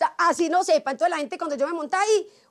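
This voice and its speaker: A woman speaks with a strong paisa accent. Her pitch is extremely high. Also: quiet background. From Antioquia, Colombia. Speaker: TV journalist. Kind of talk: interview answer. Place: garden. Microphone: lapel.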